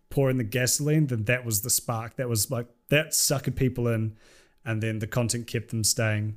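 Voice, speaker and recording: A man with a New Zealand accent and medium pitch. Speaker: YouTuber. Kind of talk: casual chat.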